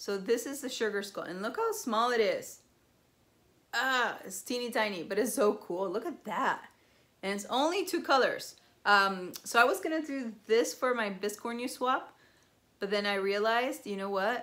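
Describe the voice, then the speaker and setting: A fairly high-pitched woman with a Spanish accent, at a moderate pace with lively intonation. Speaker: cross-stitch video blogger. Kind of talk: casual show-and-tell vlog. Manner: chatty, many fillers.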